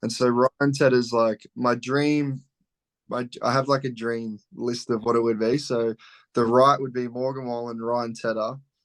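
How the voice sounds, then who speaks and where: Over a quiet background, a speaker with an Australian accent talks at a fairly slow pace in a monotone, flat intonation. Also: man, medium pitch for a man. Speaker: country singer-songwriter. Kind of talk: casual interview.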